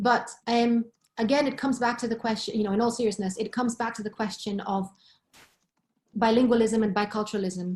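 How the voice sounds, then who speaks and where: The voice is somewhat breathy, with a Greek accent. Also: woman. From Greece, Thessaloniki. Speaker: professor. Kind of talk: webinar discussion.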